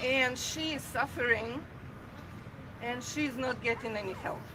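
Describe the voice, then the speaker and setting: A woman's high-pitched voice in a Russian accent, at a very slow pace with fairly even intonation, over noticeable background noise. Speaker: protester. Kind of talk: public speech. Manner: halting.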